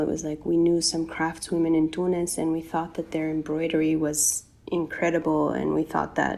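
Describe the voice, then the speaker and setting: Her pitch is very deep and low for a woman. She talks at a fairly quick pace. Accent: American. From US South, North Carolina. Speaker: ethical clothing brand founder. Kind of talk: podcast interview. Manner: casual, many fillers.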